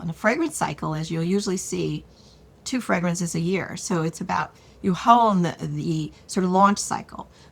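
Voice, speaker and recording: A woman speaks at a moderate pace in a fairly low pitch, with ordinary pitch variation. It is a plain, everyday voice. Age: 60s. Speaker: beauty brand founder. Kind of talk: interview.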